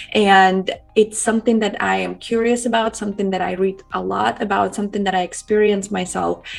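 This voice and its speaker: There is noticeable background noise while a woman speaks. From Ukraine. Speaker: communication coach. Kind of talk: interview.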